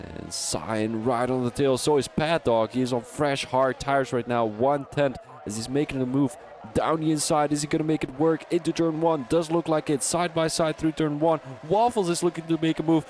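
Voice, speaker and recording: A man with a Dutch accent talks at a moderate pace over noticeable background noise. His fairly high pitch shows ordinary variation. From Belgium. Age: 20s. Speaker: sim racing commentator. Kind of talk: live commentary. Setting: live stream. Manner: halting.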